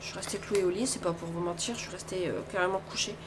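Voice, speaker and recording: A woman speaks amid noticeable background noise. Room echo is audible too. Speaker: craft vlogger. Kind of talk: casual vlog talk. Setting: at home.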